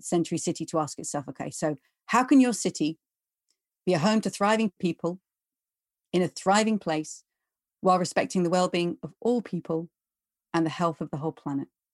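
Against a quiet background, a woman with a southern English accent and a fairly low pitch talks at a fairly quick pace with long, frequent pauses, in a dry, close sound with no echo. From London, England. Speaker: economist and author. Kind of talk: interview.

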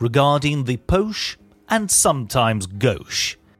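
A man speaks at a fairly slow pace with a somewhat breathy, fairly high voice. His pitch swings very widely. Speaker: radio show host. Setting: radio studio.

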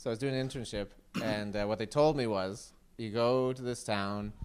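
A man talks in a fairly low register, his pitch moving in an ordinary way. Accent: Nova Scotian. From Nova Scotia, near New Glasgow. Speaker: comedian. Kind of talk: casual chat.

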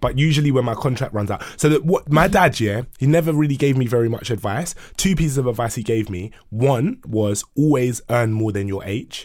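Lively intonation from a man with a British accent, medium in pitch, at a fairly quick pace. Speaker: podcast co-host. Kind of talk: casual banter podcast chat. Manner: animated, joking, playful.

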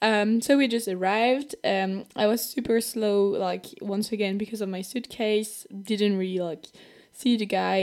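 With a French accent, a woman talks at a medium pitch with fairly even intonation. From France. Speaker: podcast host. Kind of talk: personal storytelling. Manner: casual and chatty.

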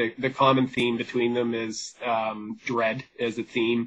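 A man with a western Canadian accent. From Vancouver, British Columbia, Canada. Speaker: author. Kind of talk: interview.

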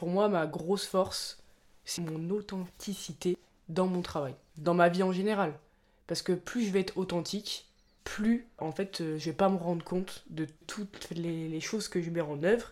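Fairly even intonation runs through a plain, everyday voice. The pace is fairly slow. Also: woman, fairly low pitch for a woman. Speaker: podcast co-host. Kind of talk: casual chat.

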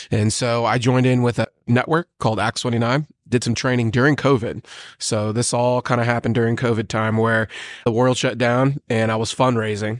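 A man talks at a fairly quick pace and a medium pitch. The sound is dry and close with no echo, against a quiet background. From US military family, moved around. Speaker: pastor and bartender. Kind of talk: casual chat. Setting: coffee shop recording. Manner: animated.

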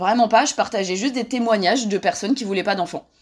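Ordinary pitch variation runs through a woman's fairly high voice. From France. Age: 30s. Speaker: journalist and author. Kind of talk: interview. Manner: hesitant with fillers.

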